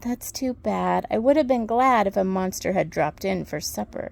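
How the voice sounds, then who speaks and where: In a put-on character voice, a female-sounding speaker uses a raspy, medium-pitched delivery at a moderate pace. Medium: read story.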